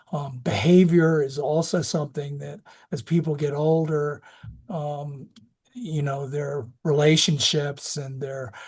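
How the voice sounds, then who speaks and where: A man with a fairly high pitch sounds somewhat breathy at a fairly slow pace. His pitch varies in an ordinary way over a quiet background. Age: 60s. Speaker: physician specializing in geriatrics. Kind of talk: lecture. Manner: halting.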